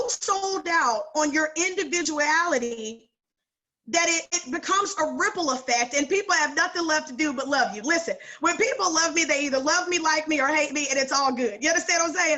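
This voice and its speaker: Her voice pitched extremely high, a woman speaks in an animated tone with ordinary pitch variation. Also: fairly quick pace. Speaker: sales director and coach. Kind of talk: training call talk.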